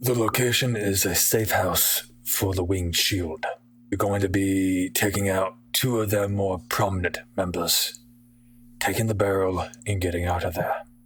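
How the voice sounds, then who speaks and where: Using a put-on character voice, a man speaks at a moderate pace with a fairly low pitch, ordinary pitch variation and very even loudness. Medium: actual play. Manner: blunt, profane.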